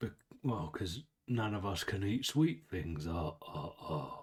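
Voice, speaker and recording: Using a put-on character voice, a man speaks raspy and fairly low-pitched at a fairly slow pace. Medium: actual play. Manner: weird chuckling, jolly like Santa.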